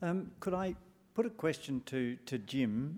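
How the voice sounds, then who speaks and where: This is a man with an Australian accent. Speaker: panel facilitator and journalist. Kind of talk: moderating a panel discussion. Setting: live talk with audience.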